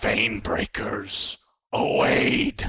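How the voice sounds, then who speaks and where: A man's put-on character voice, raspy and robotic. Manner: ominous.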